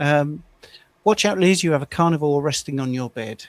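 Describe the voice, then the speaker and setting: Ordinary pitch variation with an English accent. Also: man. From England. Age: 60s. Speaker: carnivore diet coach. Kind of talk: casual chat. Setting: live stream.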